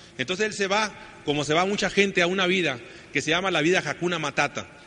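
Over noticeable background noise, a man with a high-pitched voice talks at a very fast pace. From northern Mexico, Sonora. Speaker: network marketing speaker. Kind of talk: motivational talk.

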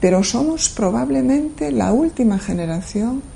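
Amid noticeable background noise, a woman at medium pitch speaks at a very slow pace with very wide pitch swings. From Galicia, Spain. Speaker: professor. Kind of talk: interview monologue. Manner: measured, with hesitations.

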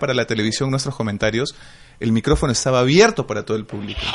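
Very rapid male delivery with ordinary pitch variation. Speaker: voice actor and wrestling commentator. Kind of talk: casual interview.

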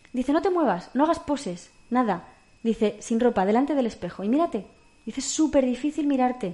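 This woman has a high pitch and lively intonation. She talks at a fairly quick pace. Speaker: podcast co-host. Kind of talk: casual chat.

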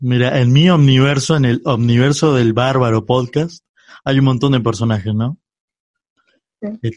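A man with a Rioplatense accent talks at a medium pitch with ordinary pitch variation. His pace is fairly slow, with long, frequent pauses. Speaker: podcast host. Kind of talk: casual chat.

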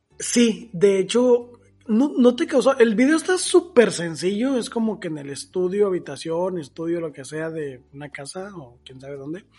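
High-pitched male speech in a Mexican accent, dark and mellow in tone, with very wide pitch swings, a moderate pace and hardly any pauses. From Mexico. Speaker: podcast co-host. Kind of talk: casual chat.

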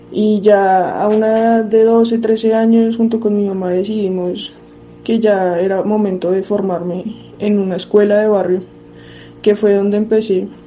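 A woman talks at a medium pitch and a fairly slow pace. Her intonation is monotone and flat, with noticeable background noise behind her. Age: 20s. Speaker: footballer. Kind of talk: recorded testimony.

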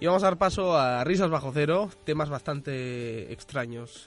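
A man talks at a moderate pace in a medium pitch with lively intonation. His is a plain, everyday voice. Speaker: radio host. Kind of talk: casual chat.

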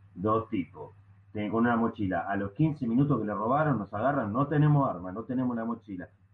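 A man talks at a fairly quick pace in a medium pitch with ordinary pitch variation. It is an ordinary speaking voice. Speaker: stand-up comedian. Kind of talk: casual chat.

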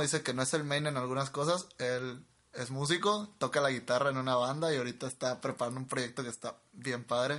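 A man at a medium pitch, talking at a very fast pace with hardly any pauses and fairly even intonation. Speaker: podcast co-host, engineering graduate. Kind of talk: casual chat. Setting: home studio in a bedroom. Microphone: cheap microphones into a laptop.

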